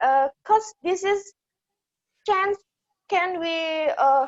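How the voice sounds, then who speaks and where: A woman speaks at an extremely high pitch with lively intonation. Her pace is very slow. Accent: Indonesian. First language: Indonesian. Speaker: audience member asking a question. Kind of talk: audience question. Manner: hesitant, many fillers.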